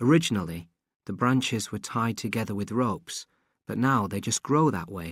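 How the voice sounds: With a quiet background, the clip has a natural reading voice and ordinary pitch variation.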